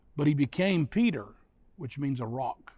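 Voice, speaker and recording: A man talks at a fairly quick pace, his fairly high voice carrying a dark, mellow tone. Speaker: pastor. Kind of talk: sermon. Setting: online church service broadcast.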